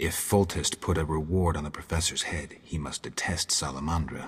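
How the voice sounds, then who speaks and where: A man puts on a character voice at a very deep, low pitch. He goes at a moderate pace. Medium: video game. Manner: dry, laconic.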